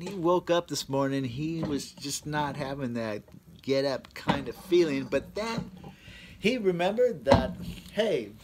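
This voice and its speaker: A man speaks at a fairly slow pace over loud background noise. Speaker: beer reviewer. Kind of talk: casual vlog chat. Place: garage.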